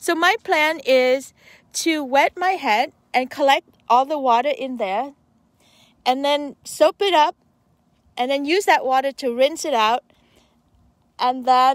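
A woman speaks at a very slow pace with long, frequent pauses, her pitch high with ordinary variation. The sound is dry with no echo over a quiet background. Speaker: van-life vlogger. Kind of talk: casual vlog chat. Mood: cheerful, playful. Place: open country. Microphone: phone near.

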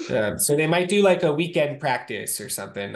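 The man talks at a fairly quick pace, with very wide pitch swings. The background is quiet. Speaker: wheelchair rugby player. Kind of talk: casual video-call discussion. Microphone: video call.

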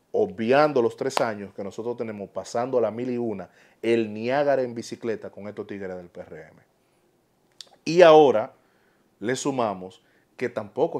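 A man with a Dominican accent speaks at a moderate pace and medium pitch, his intonation lively. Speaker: political commentator YouTuber. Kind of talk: opinion monologue. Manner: animated.

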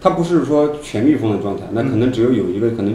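A man talking very fast, with light background noise and audible room echo. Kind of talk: interview answer. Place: office. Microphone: handheld.

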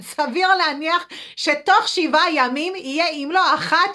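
A woman's high-pitched, raised and projected voice with a bright, sharp tone, at a moderate pace against a quiet background. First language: English (speaking Hebrew). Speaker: nurse and food addiction counselor; healthy eating coach. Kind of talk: weekly live video talk. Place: home room. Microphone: phone near.

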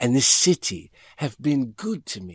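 On a very clean recording with a silent background and a dry, close sound with no echo, a man speaks somewhat breathily at a medium pitch and a very slow pace, his pitch swinging very widely. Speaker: audiobook narrator. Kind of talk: audiobook narration of a memoir.

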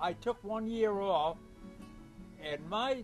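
With music in the background, a man speaks in a warm tone at a high pitch and a very slow pace. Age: 80s+. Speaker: lobsterman. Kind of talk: interview answer. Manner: humorous, warm.

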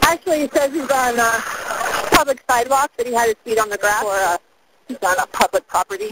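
Very fast speech over loud background noise, in a dry sound with no echo. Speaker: caller. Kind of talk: phone call answers to dispatcher. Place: street.

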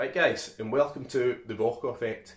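With audible room echo, a somewhat breathy man talks at a moderate pace with ordinary pitch variation. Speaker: vlogger giving life advice. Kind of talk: casual vlog chat. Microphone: phone near.

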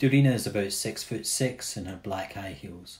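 A man's voice comes through somewhat breathy. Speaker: audio describer. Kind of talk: audio description narration.

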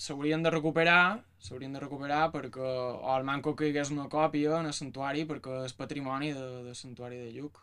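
A plain, everyday voice speaks at a moderate pace with fairly even intonation. Its loudness swings widely against a quiet background. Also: man. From Mallorca, Palma; Mallorca. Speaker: music student and researcher. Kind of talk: panel talk about research. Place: office. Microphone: camera far.

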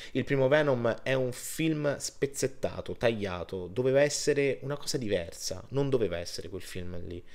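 A man speaks at a moderate pace over a quiet background. His pitch variation is ordinary. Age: 30s. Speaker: film reviewer. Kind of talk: video review monologue. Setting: home recording on laptop. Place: home room. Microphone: webcam.

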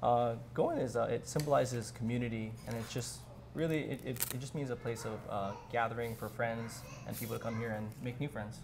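A somewhat breathy man at a fairly quick pace, amid noticeable background noise. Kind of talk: interview answer. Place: cafe.

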